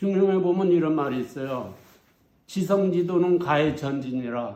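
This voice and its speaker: Moving at a moderate pace, a man with a high pitch and a dark, mellow tone speaks with lively intonation. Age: 80s+. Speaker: herbal medicine researcher, former herbal pharmacist. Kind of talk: lecture, recounting personal experiences.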